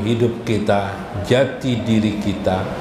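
A man with ordinary pitch variation, audible room echo and noticeable background noise. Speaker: religious teacher. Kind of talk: sermon. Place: hall.

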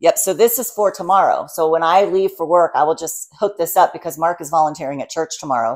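Against a quiet background, a woman with a plain, everyday voice speaks at a fairly low pitch with ordinary pitch variation. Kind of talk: casual vlog chat. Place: kitchen. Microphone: lapel.

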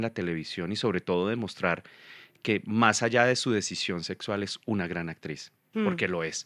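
The speech shows ordinary pitch variation, with a quiet background and a dry sound with no echo. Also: man. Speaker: guest actor. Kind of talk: interview answer. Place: studio. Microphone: studio mic.

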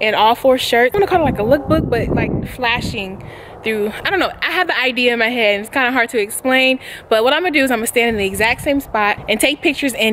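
Someone speaks at a very fast pace over noticeable background noise. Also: woman. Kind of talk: casual vlog chat. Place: garden. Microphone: phone near.

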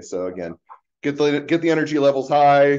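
Here a man speaks fairly quickly. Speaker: university instructor. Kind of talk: lecture. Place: office. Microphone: webcam.

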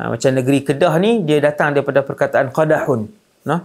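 Against a quiet background, a man with vocal fry talks at a moderate pace, his fairly high pitch showing ordinary variation. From Malaysia. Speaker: Islamic preacher. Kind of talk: religious lecture. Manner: animated storytelling. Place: studio. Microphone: lapel.

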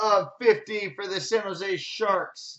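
Speech at a very slow pace over a quiet background. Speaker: sports card break host. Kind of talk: card break commentary, rattling off hits. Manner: repeats each name twice for emphasis. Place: shop. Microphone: webcam.

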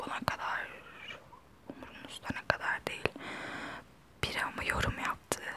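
A woman whispers at a fairly slow pace in a relaxed tone. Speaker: ASMR vlogger. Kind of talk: casual talk to camera. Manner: soft-spoken, relaxed. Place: home room. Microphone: lapel.

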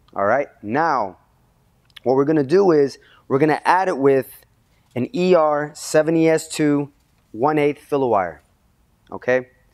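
Over a quiet background, a man speaks very slowly with ordinary pitch variation and long, frequent pauses. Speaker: welding instructor. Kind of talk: tutorial. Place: workshop.

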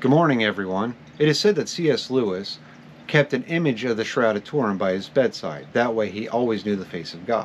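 Lively intonation and a fairly quick pace come through over light background noise. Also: man. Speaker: novelist. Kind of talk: reading notes to camera on history and science. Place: home room. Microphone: phone near.

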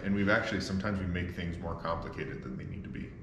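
A man talks at a very fast pace in a fairly low pitch. Audible room echo and light background noise fill the recording. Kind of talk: casual vlog chat. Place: garage. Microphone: phone near.

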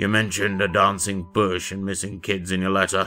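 Raspy and fairly low, a man's voice moves at a fairly quick pace with monotone, flat intonation. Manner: curt, speaking through mouthfuls.

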